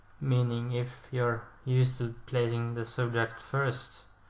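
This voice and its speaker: Audible room echo surrounds a man speaking at a medium pitch. He talks in a flat monotone at a fairly slow pace. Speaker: language learning video creator. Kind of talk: casual explainer monologue. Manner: halting, with fillers and self-corrections.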